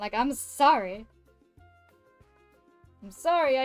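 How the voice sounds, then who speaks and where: Over music in the background, a woman with a fairly high pitch talks at a very slow pace with lively intonation. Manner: loud, projects voice like a stage performer; excitable, voice peaks when excited.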